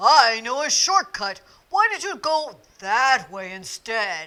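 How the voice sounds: A woman puts on a character voice at a slow pace and fairly high pitch. Her tone is bright and sharp, with big pitch swings.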